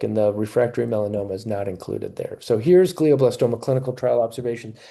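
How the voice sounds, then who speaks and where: The voice moves at a very fast pace with a dark, mellow tone. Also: man. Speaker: naturopathic oncologist. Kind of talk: webinar lecture. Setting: live video webinar. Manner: animated.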